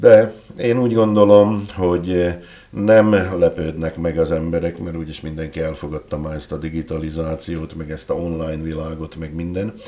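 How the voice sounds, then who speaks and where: A man with a very deep, low voice keeps his intonation fairly even, though his loudness swings a lot. There is noticeable background noise. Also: moderate pace. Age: 60s. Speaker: writer and entrepreneur. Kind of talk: interview. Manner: halting.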